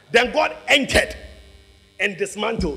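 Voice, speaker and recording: Over music in the background, a man speaks in an animated tone at a moderate pace. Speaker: preacher. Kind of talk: sermon. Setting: church with congregation. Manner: animated, rousing call-and-response; loud, urgent, full of exhortation.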